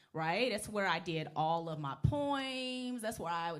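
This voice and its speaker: With audible room echo, a woman speaks in an animated tone with very wide pitch swings. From Nashville, Tennessee (East Nashville). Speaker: lawyer. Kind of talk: interview. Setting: chapel with audience.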